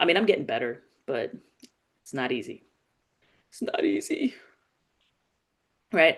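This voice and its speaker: A woman with a New York accent at a moderate pace. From New York City, the Bronx. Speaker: political commentary host. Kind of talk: live political commentary. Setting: live stream. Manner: casual, conversational with fillers.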